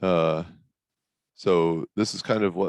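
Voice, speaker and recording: The man's voice is very deep and low in pitch, with a dry, close sound and no echo. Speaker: mathematician giving a research talk. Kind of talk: academic lecture. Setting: video call. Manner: casual, with many fillers.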